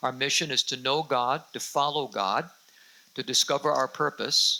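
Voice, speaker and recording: Bright and sharp in tone, a man's voice holds a fairly high pitch with fairly even intonation. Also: moderate pace. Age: 60s. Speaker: senior pastor. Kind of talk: sermon.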